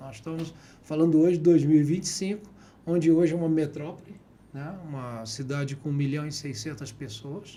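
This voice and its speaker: A man with a fairly high, somewhat breathy voice and a dark, mellow tone talks at a fairly quick pace with big swings in loudness, amid audible room echo. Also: ordinary pitch variation. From city of Goiás, Brazil. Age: 60s. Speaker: businessman and politician. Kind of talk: interview.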